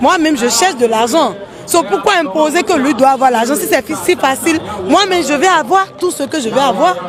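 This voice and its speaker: A woman's voice at a moderate pace, with very wide pitch swings and crowd noise behind it. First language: English (speaking French). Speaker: street interviewee. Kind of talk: street interview. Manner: halting.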